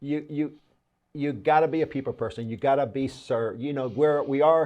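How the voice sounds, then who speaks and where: Speaking in a Cuban accent, a man keeps a moderate pace. His pitch is fairly high. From Cuban heritage, born in Puerto Rico. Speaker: politician. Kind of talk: interview. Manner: animated, repetitive stammering.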